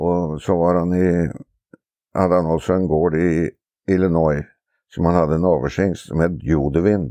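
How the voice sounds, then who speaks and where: A man with a very deep, low pitch and a dark, mellow tone speaks at a moderate pace with long, frequent pauses, very even loudness and fairly even intonation. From Norway, Oslo. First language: Norwegian (speaking Swedish). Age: 70s. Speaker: harness racing trainer. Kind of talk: casual interview. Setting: outdoors on a veranda.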